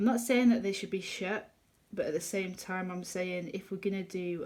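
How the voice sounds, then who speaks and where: Speaking is a woman. She has an English accent. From England. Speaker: colouring youtuber. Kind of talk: casual chat. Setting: home kitchen.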